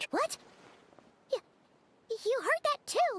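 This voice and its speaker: An energetic, squeaky put-on character voice sits at an extremely high pitch. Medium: video game. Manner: energetic, exclamatory.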